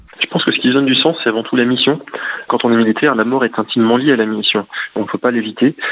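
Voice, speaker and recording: At a very fast pace, a man with a medium pitch speaks with fairly even intonation and very even loudness amid noticeable background noise. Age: 40s. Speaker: gendarmerie officer and author. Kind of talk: radio interview. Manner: halting.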